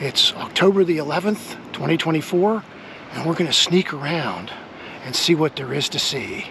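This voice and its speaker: A man whispering at a moderate pace amid noticeable background noise. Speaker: history video host. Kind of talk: walking tour vlog.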